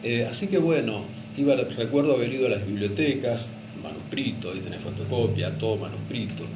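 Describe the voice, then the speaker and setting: Noticeable background noise accompanies a man with a Rioplatense accent speaking at a fairly quick pace and medium pitch with ordinary pitch variation. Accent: Argentine Rioplatense Spanish. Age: 60s. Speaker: retired radio announcer and teacher. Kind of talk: radio interview answer.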